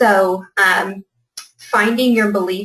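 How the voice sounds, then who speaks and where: The woman's intonation is monotone and flat. She talks at a moderate pace with a medium pitch. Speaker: fitness business coach. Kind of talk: webinar presentation.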